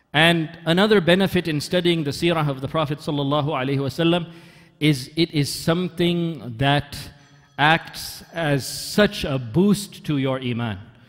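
At a fairly slow pace, a man speaks with ordinary pitch variation while faint music plays behind him. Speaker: religious lecturer. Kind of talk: lecture. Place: church.

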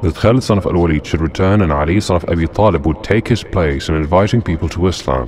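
A man with a very deep, low voice speaks at a very fast pace in a solemn, dramatic tone with lively intonation. There is noticeable background noise. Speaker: narrator of Islamic history. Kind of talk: dramatic narration of history, scripted. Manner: solemn, dramatic, measured storytelling pace.

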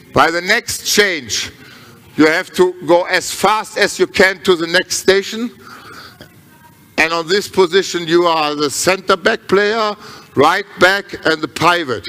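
This man has a high pitch. He speaks at a fairly slow pace. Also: ordinary pitch variation. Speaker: handball coach. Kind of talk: coaching instruction. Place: hall. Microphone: headset.

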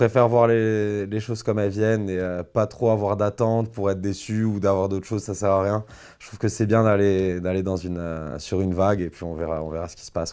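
A man's fairly low voice, dark and mellow in tone, at a fairly quick pace, with fairly even intonation and big swings in loudness. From Corsica, France (Bastia); Corsica, France. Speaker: musician; interviewee. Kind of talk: interview. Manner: halting, many fillers. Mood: relaxed, smiling. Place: studio.

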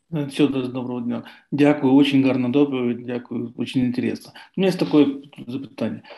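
At a moderate pace, a man speaks at medium pitch with a dark, mellow tone and fairly even intonation. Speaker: researcher. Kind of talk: presentation. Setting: video call.

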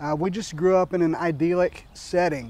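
With an American accent, a man speaks at a moderate pace in a high, monotone voice with flat intonation, the sound dry with no echo. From US Midwest, southern Iowa. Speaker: podcast co-host; interviewee. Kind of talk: personal introduction monologue; interview answer. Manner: hesitant, many filler words. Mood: warm, reflective. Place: garden. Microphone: lapel.

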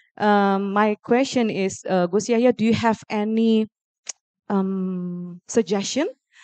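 At a very slow pace, a woman speaks with a fairly high pitch and fairly even intonation in a dry sound with no echo against a quiet background. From Indonesia. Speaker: university lecturer. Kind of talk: audience question. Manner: halting. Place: hall. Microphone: handheld.

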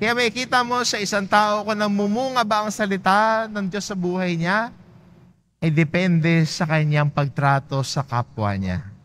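A high-pitched man at a moderate pace with lively intonation, on a very clean recording with a silent background. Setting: church. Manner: calm, measured pastoral delivery; gently exhortative, inviting tone.

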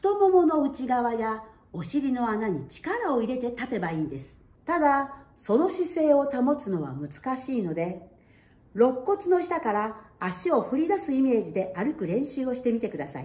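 Audible room echo surrounds a woman's high-pitched voice. She speaks at a moderate pace. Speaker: singer and voice trainer. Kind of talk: voice lesson talk to camera. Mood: warm, cheerful. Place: home room. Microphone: camera far.

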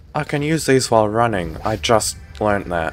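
Music runs in the background. Against it, a man talks at a fairly slow pace. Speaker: gaming YouTuber. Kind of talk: solo gameplay commentary, casual and joking. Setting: home desk with microphone, recording gameplay. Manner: rambling, self-deprecating, animated.

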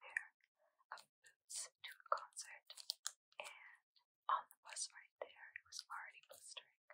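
A woman whispers fairly slowly, with long pauses coming often. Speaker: ASMR creator. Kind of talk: ASMR show-and-tell. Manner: whispered. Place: home room.

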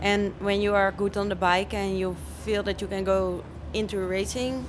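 Against noticeable background noise, a woman with a Dutch accent speaks at a fairly slow pace. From Netherlands, Zeeland; Netherlands. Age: 20s. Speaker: motocross rider; interviewee. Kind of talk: interview. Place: tent. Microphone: handheld.

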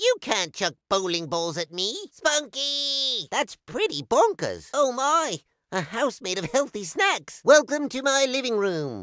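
A cartoonish character voice from a man, pitched extremely high, with very wide pitch swings, a fairly slow pace and hardly any pauses. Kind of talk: video game voice lines. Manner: polite, mild, easily worried.

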